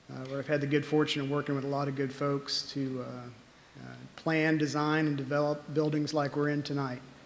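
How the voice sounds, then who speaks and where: A man speaks at a fairly quick pace in a fairly high voice with flat, monotone delivery. Noticeable background noise runs under him. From Mobile, Alabama. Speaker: assistant city manager. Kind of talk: self-introduction at public meeting. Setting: public committee meeting.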